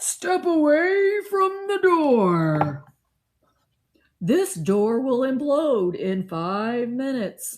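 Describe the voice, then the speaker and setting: A woman puts on a character voice, dramatic and high-pitched. She speaks very slowly, with very wide pitch swings. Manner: commanding, dramatic.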